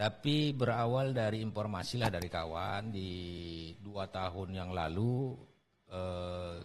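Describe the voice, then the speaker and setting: Through audible room echo, a man with a fairly low voice speaks at a very slow pace with ordinary pitch variation. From North Sumatra, Serdang Bedagai (Malay-Javanese family). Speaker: radio announcer and comedy content creator. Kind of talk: casual interview.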